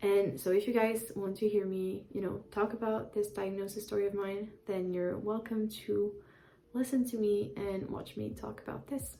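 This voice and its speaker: This woman has a French accent and a medium pitch. She speaks at a moderate pace. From France (Paris). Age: 20s. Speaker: YouTuber. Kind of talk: casual vlog. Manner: hesitant, many fillers.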